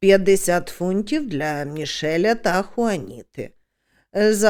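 Against a quiet background, someone reads aloud plainly.

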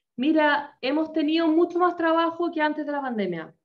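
Against a quiet background, a woman speaks with a high pitch. She has a Chilean accent. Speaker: humor trainer, corporate coach. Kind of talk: presentation in a webinar. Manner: animated. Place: home room. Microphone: video call.

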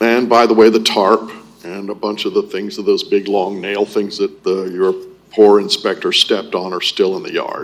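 Noticeable background noise runs beneath a man speaking at a moderate pace in an American accent. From Florida, Ormond Beach. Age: 60s. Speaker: public commenter. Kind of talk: public comment at city meeting. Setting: city commission meeting. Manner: halting, many fillers.

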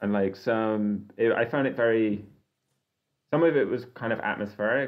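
Fairly low in pitch, a man speaks in an unremarkable speaking voice with ordinary pitch variation. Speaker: podcast co-host. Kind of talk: casual chat.

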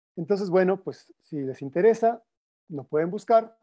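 A high-pitched male voice with a dark, mellow tone and lively intonation, at a fairly slow pace over a quiet background. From Mexico. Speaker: music and recordings researcher; panelist. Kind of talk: presentation. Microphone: video call.

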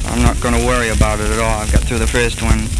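Someone speaks very fast against loud background noise. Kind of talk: personal spoken letter. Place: booth. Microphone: old recording.

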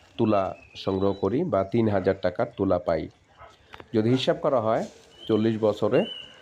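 A man talks in a fairly low pitch with ordinary pitch variation and very even loudness. Noticeable background noise runs behind him. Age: 40s. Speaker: farming video blogger. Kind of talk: vlog narration.

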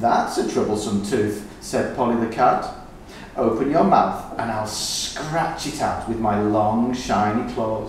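The clip is plain reading aloud. Words are just read out in turn.

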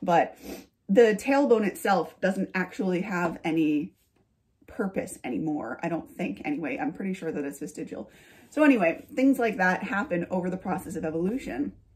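Somewhat breathy, a woman talks at a moderate pace with very wide pitch swings against a quiet background. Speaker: lifestyle YouTuber and author. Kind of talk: casual vlog monologue. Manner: chatty, laughing. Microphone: phone near.

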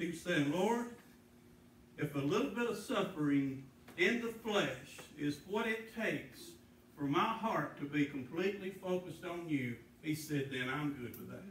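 Lively intonation at a moderate pace, with light background noise and audible room echo. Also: man. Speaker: preacher. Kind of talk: sermon. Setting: church. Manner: earnest, pleading, pausing to stress points. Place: church. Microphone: camera far.

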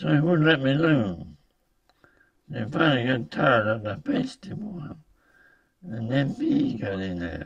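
With very wide pitch swings and long, frequent pauses, a man talks in a fairly high voice. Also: fairly slow pace, quiet background. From United States. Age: 80s+. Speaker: war veteran. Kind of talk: interview answer. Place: home room. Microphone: camera far.

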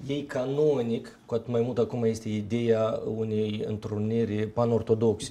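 A man speaks in a dark, mellow tone. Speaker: Orthodox deacon; guest. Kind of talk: panel discussion on TV. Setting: studio. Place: studio. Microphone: lapel.

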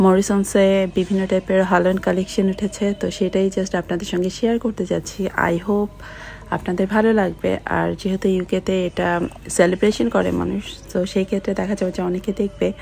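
Light background noise sits under a woman's monotone, flat intonation. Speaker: vlogger. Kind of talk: casual vlog chat. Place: shop. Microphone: phone near.

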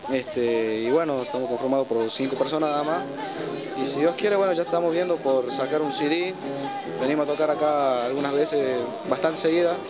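Over clear music in the background, the speech runs at a fairly quick pace with ordinary pitch variation. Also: man, fairly high pitch for a man.

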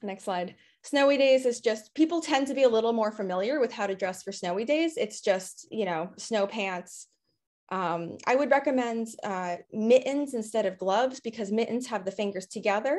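Her pitch fairly high, a woman speaks at a moderate pace with lively intonation. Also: quiet background. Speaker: outdoor preschool educator. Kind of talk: panel presentation. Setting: video call. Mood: friendly, upbeat. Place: home room. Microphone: video call.

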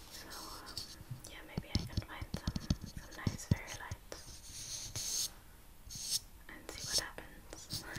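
Whispering, a woman speaks at a very slow pace with long, frequent pauses. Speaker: vlogger. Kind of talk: soft casual vlog chat. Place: home room.

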